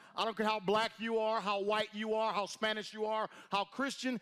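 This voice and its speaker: A man's loud, high-pitched voice with a bright, sharp, animated tone at a moderate pace, on a very clean recording with a silent background. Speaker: motivational speaker at network marketing event. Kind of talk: motivational stage speech. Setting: stage with audience, echoing room.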